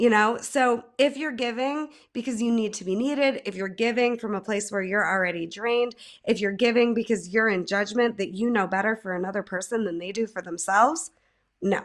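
A woman with a plain, everyday voice and an American accent, fairly high in pitch with ordinary pitch variation, on a very clean recording with a silent background. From central New York, Mohawk Valley. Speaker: life coach and music therapist. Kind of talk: casual interview.

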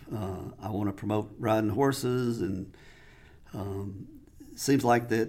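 A man is speaking here. He has a Southern US accent. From Mississippi, US South. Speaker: saddle maker. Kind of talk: casual interview. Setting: studio.

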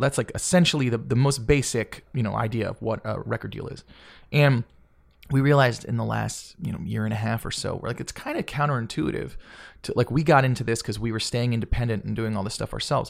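The speaker talks at a very fast pace with an American accent and ordinary pitch variation. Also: man, medium pitch for a man. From Georgia, US South. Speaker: singer-songwriter. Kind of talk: casual chat. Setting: at host's house.

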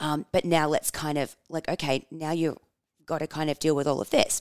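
An energetic tone at a moderate pace, with a dry, close sound with no echo in a very clean recording over a silent background. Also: woman. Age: 30s. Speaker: podcast host and publicist. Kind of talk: casual monologue.

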